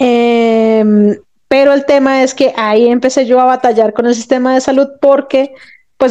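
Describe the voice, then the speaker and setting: A woman with a Colombian accent speaks at a high pitch in a dark, mellow tone with fairly even intonation. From Colombia, Bogotá. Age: 40s. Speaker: physiotherapist. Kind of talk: interview.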